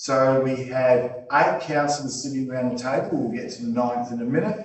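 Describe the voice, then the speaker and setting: Audible room echo surrounds a man with an Australian accent. He talks at a moderate pace and a medium pitch. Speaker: meeting chair. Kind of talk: formal meeting proceedings.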